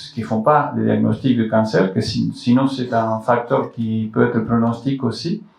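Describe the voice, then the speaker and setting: A man talks at a very slow pace with a non-native accent and a medium pitch. Noticeable background noise runs behind him. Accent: foreign accent in French. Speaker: colorectal surgeon. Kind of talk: health talk to public audience. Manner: halting with many repetitions.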